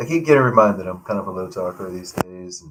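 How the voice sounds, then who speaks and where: A man speaks softly. His pitch is fairly low. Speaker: abstract painter livestreaming. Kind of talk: casual livestream chat. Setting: livestream. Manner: soft-spoken, low talker.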